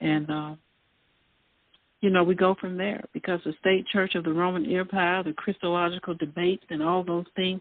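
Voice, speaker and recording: Moderate pace with ordinary pitch variation. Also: woman. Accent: Southern US. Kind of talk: casual chat. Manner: halting.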